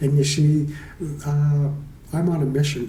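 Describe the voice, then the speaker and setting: A dark, mellow, somewhat breathy voice moves at a moderate pace with audible room echo. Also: man. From Canada, Toronto. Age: 60s. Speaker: mental health advocate, recovering alcoholic. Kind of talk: casual interview.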